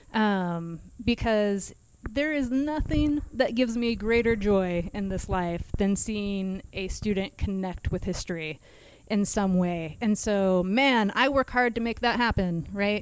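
A woman with an American accent has an unremarkable speaking voice, medium in pitch with ordinary pitch variation, at a fairly slow pace. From Kansas. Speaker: history instructor. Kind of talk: casual chat, explaining history.

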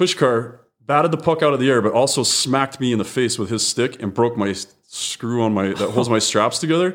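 Over a silent background in a very clean recording, a man talks at a fairly quick pace and medium pitch. His is an unremarkable speaking voice, with lively intonation. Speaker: firefighter and radio podcaster. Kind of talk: casual interview chat. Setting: podcast recording.

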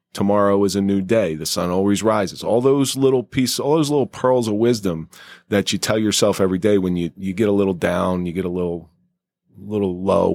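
A man with a plain, everyday voice speaks at a fairly quick pace in a fairly low pitch, with ordinary pitch variation. The recording is very clean, with a silent background. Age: 40s. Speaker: podcast host. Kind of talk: casual chat; scripted narration.

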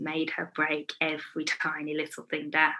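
A woman with a Midlands accent, her pitch very deep and low, at a moderate pace. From England, Warwick. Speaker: nail educator and brand owner. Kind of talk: casual interview chat.

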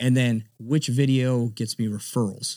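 A man with an American accent speaks at a medium pitch in a dark, mellow tone, on a very clean recording with a silent background. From South Florida (Broward County). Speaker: realtor and Marine veteran. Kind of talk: interview. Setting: podcast studio. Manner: casual.

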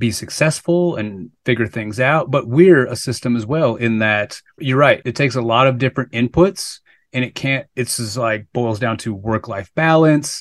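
With an unremarkable speaking voice, a medium-pitched man talks at a moderate pace with hardly any pauses and ordinary pitch variation, in a dry, close sound with no echo against a quiet background. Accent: American. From Minnesota. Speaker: podcast co-host, NLP trainer. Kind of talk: casual chat.

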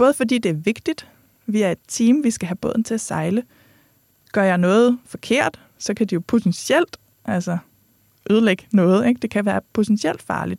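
A woman in a normal speaking voice, medium in pitch, with lively intonation at a moderate pace, in a dry, close sound with no echo. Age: 30s. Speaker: podcast host. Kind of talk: podcast monologue.

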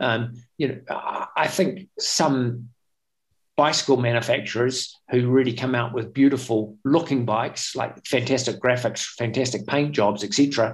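In a New Zealand accent, a man with a medium pitch speaks at a fairly slow pace, somewhat breathy, with ordinary pitch variation. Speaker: espresso machine company founder, former racing cyclist. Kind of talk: interview.

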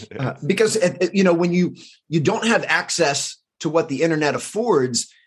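A normal speaking voice moves at a moderate pace with ordinary pitch variation, recorded very cleanly over a silent background. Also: man. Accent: American. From US, Washington DC area. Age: 40s. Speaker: high performance coach. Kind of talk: casual interview.

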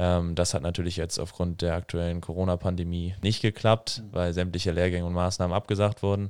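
On a very clean recording with a silent background, a man with a very deep, low pitch speaks at a fairly quick pace in a monotone, flat way. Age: 20s. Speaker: hockey player and psychology student, podcast co-host. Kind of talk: casual conversation.

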